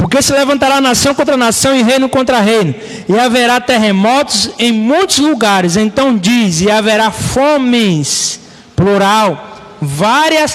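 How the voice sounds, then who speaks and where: Amid noticeable background noise and audible room echo, a man with a high pitch speaks very slowly with lively intonation. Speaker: pastor. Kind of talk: bible study sermon. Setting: live stream.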